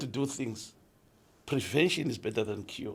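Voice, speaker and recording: The man's voice comes across somewhat breathy. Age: 60s. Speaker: podcast host's father sharing life stories. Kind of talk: casual chat.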